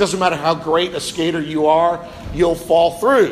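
In an American accent, a man with high pitch and fairly even intonation talks over noticeable background noise and audible room echo. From US Midwest (northern Ohio). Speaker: pastor. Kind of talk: sermon.

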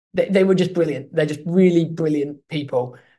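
A high-pitched man's voice in an English accent, with ordinary pitch variation. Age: 30s. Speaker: comedic actor and playwright. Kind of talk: interview. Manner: halting.

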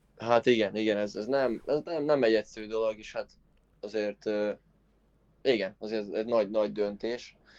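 A man talks at a moderate pace in a fairly low pitch with fairly even intonation. His loudness swings widely, and he leaves long, frequent pauses. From Hungary. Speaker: former college tennis player. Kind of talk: interview.

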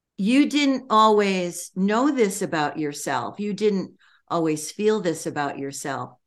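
In a quiet background, a woman speaks at a very slow pace. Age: 80s. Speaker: transformational leadership trainer and author. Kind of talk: interview.

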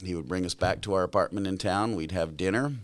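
A man's very deep, low voice with an American accent, in a very clean recording with a silent background. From California. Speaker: grandfather interviewed about his life. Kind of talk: family interview.

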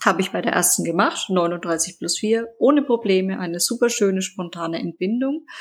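Over noticeable background noise, a woman with a medium pitch speaks at a moderate pace and with lively intonation. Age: 20s. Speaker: podcast guest, mother with lupus and coach. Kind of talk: casual interview.

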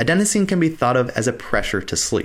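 On a very clean recording with a silent background, a man talks fairly quickly in an unremarkable speaking voice with lively intonation. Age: 30s. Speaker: health and fitness podcast host. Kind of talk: scripted narration.

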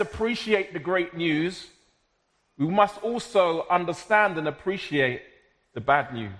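A man speaks in a South London accent at a fairly slow pace. His voice is high in pitch, with lively intonation. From South London, Jamaican heritage. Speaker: preacher. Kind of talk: sermon.

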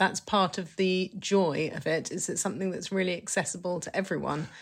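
An ordinary speaking voice delivers the words at a moderate pace. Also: woman, very clean recording, silent background. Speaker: podcast host. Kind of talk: casual conversation and poem reading.

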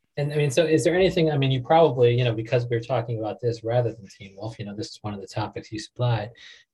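A man with an American accent and a dark, mellow, somewhat breathy tone, talking at a very fast pace with big swings in loudness and ordinary pitch variation. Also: medium pitch for a man. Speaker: podcast host. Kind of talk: casual, profane.

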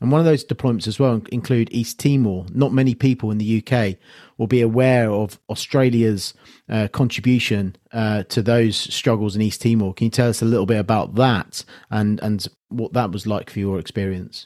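A man with a British accent has a dark, mellow tone. The sound is dry and close with no echo, on a very clean recording with a silent background. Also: medium pitch for a man, fairly even intonation, moderate pace. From UK. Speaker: podcast host and military veteran. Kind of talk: interview.

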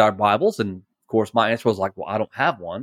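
The recording of this man is very clean with a silent background and a dry, close sound with no echo. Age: 40s. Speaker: preacher and former rock band member. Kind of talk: testimony. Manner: repetitive, halting.

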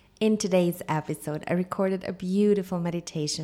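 A woman speaks in a calm tone at a moderate pace. Her pitch variation is ordinary. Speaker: life coach and yoga teacher. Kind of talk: guided meditation. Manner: calm, dreamy, with long pauses.

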